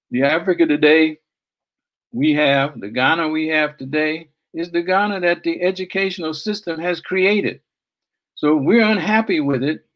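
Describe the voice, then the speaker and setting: A man talks at a moderate pace in a high pitch with ordinary pitch variation. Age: 70s. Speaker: seminar presenter. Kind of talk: speech.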